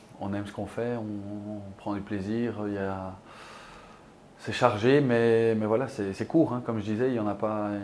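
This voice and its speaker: With audible room echo, a man speaks slowly-ish in a fairly low pitch, keeping his intonation fairly even. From Belgium. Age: 30s. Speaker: field hockey player. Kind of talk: casual chat.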